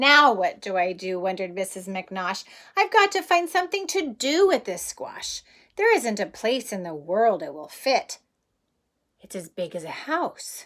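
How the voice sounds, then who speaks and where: In a put-on character voice, a woman swings her fairly high pitch very widely at a moderate pace. The recording is very clean, with a silent background. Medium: read story. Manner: worried, exclaiming.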